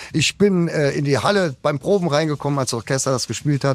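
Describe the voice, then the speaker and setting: A man with an ordinary speaking voice, fairly high pitch, ordinary pitch variation and a fairly quick pace, on a very clean recording with a silent background. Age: 60s. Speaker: rock singer. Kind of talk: radio interview. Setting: backstage after concert. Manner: casual, with fillers.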